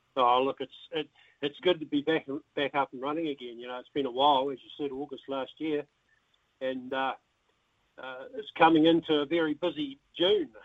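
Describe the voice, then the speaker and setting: A man with a New Zealand accent speaks at a moderate pace. His intonation is fairly even, with long, frequent pauses. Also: big swings in loudness. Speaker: darts association president. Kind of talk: radio interview. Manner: halting.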